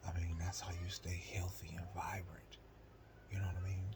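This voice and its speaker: Moderate pace over noticeable background noise. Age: 30s. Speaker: vlogger. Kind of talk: casual monologue. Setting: at home.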